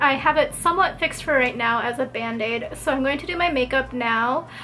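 Over light background noise, a woman speaks at a fairly quick pace in a high voice. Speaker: lifestyle vlogger. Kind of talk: casual vlog chat. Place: home room. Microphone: camera far.

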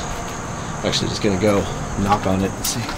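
A man talks at a fairly slow pace over loud background noise. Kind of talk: casual vlog chat. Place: open country. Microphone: phone near.

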